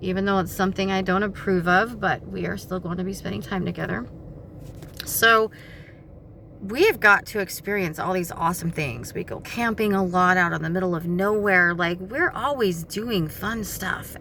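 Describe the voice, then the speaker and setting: Woman's normal speaking voice at medium pitch, moderate pace, ordinary pitch variation. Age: 40s. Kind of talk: casual talk to camera.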